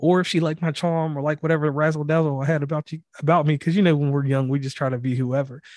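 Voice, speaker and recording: A man talks very fast with hardly any pauses. His fairly high voice stays monotone and flat. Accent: Southern US. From US South. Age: 30s. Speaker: podcast host. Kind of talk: casual chat. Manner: enunciates carefully.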